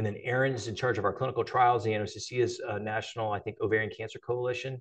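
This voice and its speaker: Against a quiet background, a man with an American accent talks at a very fast pace in a somewhat breathy voice with fairly even intonation. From northeast Ohio. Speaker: cancer surgeon. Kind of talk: lecture. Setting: lecture hall with live and online audience. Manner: halting, many fillers.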